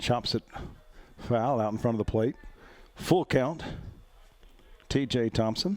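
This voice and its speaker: Speaking at a medium pitch with an Alabama accent, a man leaves long, frequent pauses. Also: ordinary pitch variation, fairly slow pace. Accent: Southern US (Alabama). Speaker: play-by-play announcer. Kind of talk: live commentary. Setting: outdoors. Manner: slurring words.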